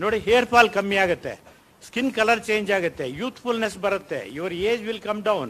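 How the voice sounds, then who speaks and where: High-pitched male voice with a bright, sharp tone. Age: 70s. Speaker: professor sharing personal diabetes reversal experience. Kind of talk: talk to an audience at a health session. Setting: auditorium with audience. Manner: animated.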